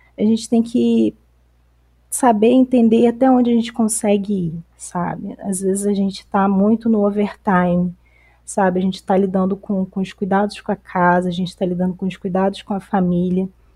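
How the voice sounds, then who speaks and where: A dark, mellow, somewhat breathy voice in a very clean recording with a silent background. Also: woman, medium pitch for a woman, ordinary pitch variation, moderate pace. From Campos dos Goytacazes, Rio de Janeiro state, Brazil. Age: 30s. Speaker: psychologist and activist. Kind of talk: casual discussion podcast. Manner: halting, many fillers.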